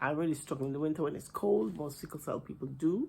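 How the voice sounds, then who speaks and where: This woman has a very deep, low voice that is somewhat breathy. Her pitch varies in an ordinary way. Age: 50s. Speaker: cross-stitch vlogger. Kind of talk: casual vlog chat. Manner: hesitant with fillers.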